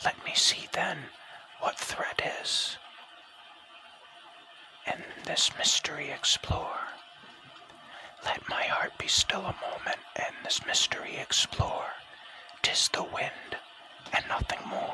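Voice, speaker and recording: Whispering comes at a very slow pace with long, frequent pauses. Noticeable background noise sits underneath. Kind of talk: whispered ASMR audiobook poetry reading. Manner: whispered.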